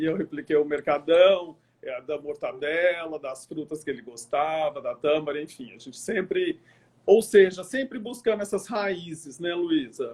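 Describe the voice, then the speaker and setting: A man with a high pitch talks at a fairly slow pace. His intonation is lively, and his loudness swings widely. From interior of São Paulo state (Araçatuba), Brazil, later Triângulo Mineiro. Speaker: event planner and online show host. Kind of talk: interview.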